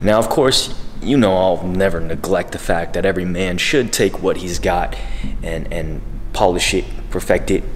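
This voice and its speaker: With music in the background, a man speaks at a moderate pace with ordinary pitch variation. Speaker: dating advice youtuber. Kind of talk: casual vlog chat. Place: home room.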